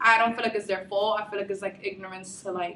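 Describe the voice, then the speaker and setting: A woman speaks with a Bronx accent. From the Bronx, New York City. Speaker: university student. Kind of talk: documentary interview. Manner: casual, many filler words.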